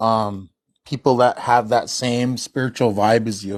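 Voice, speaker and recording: Against a quiet background, a man of medium pitch talks at a fairly slow pace with fairly even intonation. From US Midwest, North Dakota reservation. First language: Hidatsa. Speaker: caller on live stream. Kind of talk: casual chat.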